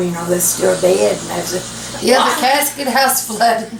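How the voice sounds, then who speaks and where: A woman talks in an Appalachian accent with ordinary pitch variation. Noticeable background noise runs behind her. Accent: Appalachian Southern. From Kentucky. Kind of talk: storytelling. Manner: rambling, colorful, folksy.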